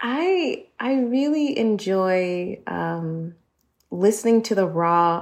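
Medium-pitched speech from a woman with an American accent. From United States. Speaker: podcaster. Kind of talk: panel discussion.

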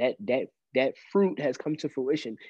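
A man speaks at a moderate pace in a plain, everyday voice, his pitch varying in an ordinary way. The sound is dry and close with no echo, over a quiet background. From Brooklyn, New York. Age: 30s. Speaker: entrepreneur and photographer. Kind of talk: interview conversation.

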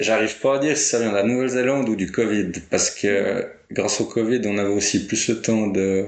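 A man talks at a fairly quick pace with a fairly low pitch. His loudness stays very even and his intonation fairly even, with audible room echo. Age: 20s. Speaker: winegrower. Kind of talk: casual interview.

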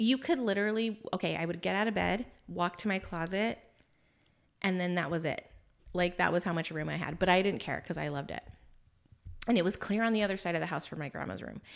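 A woman with a fairly low pitch, vocal fry and an animated tone speaks at a very fast pace with ordinary pitch variation. She takes long, frequent pauses in a very clean recording with a silent background. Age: 40s. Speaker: podcast host. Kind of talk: casual chat.

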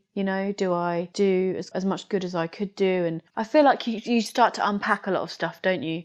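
A woman with a British accent and fairly even intonation, against a quiet background. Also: hardly any pauses. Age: 30s. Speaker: art and photography teacher. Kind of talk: casual chat.

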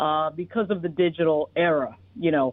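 With an American accent, a woman with a fairly low pitch talks at a moderate pace in an unremarkable speaking voice. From New York. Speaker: political commentator and news founder. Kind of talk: radio interview.

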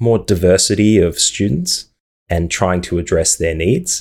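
On a very clean recording with a silent background, a man with an ordinary speaking voice talks at a moderate pace with ordinary pitch variation. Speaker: podcast host and teacher. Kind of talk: podcast interview, conversational.

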